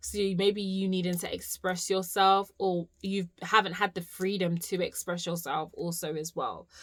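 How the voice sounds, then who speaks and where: In a very clean recording with a silent background, a woman speaks at medium pitch and a moderate pace with hardly any pauses. Her intonation is monotone and flat. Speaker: tarot card reader. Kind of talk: spiritual reading. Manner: casual, swearing freely.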